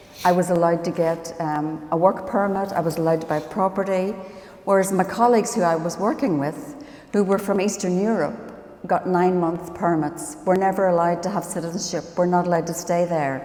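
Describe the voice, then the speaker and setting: Woman with a fairly low pitch, fairly quick pace and ordinary pitch variation, amid noticeable background noise and audible room echo. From Northern Ireland. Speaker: professor and biomedical scientist. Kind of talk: conference panel talk. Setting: conference stage with audience.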